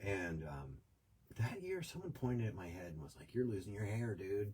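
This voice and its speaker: A man with an American accent speaks in a somewhat breathy, fairly low voice. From US, New York. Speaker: podcast host. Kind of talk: casual chat.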